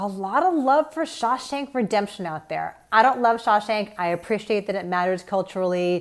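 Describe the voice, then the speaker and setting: A woman with a normal speaking voice talks at a moderate pace and medium pitch, with lively intonation and hardly any pauses. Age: 40s. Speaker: film critic and podcast host. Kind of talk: prepared commentary.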